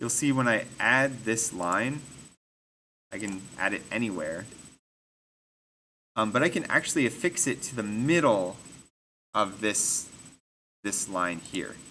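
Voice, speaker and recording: With audible room echo, a man speaks at a fairly slow pace in a fairly low pitch, his tone bright and sharp, his intonation lively, and his pauses long and frequent. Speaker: design instructor. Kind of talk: tutorial. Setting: classroom with students. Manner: casual with many fillers.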